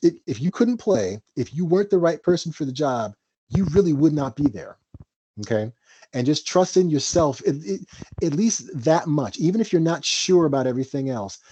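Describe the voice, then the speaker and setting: A man speaks at a moderate pace with a dark, mellow tone, a fairly high pitch and very wide pitch swings. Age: 50s. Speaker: jazz drummer and bandleader. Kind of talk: mentoring talk in a roundtable discussion. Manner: halting, many repeated words and restarts.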